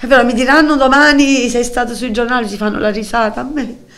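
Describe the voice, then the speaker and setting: Noticeable background noise sits under speech with ordinary pitch variation. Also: woman. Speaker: mother of a mentally ill son. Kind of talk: emotional testimony. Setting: TV studio.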